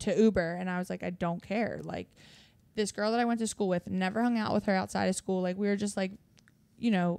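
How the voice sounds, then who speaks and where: A woman with a Philadelphia accent speaks at a fairly quick pace and medium pitch. The recording is very clean, with a silent background. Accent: Delco (Philadelphia area). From Delaware County, Pennsylvania (Philadelphia area). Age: 20s. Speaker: hairstylist and clothing brand founder. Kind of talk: casual chat. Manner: animated.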